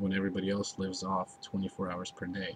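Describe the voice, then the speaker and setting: A man's fairly low voice over noticeable background noise. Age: 60s. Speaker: vlogger. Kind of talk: casual personal video diary. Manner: halting, with many restarts and fillers.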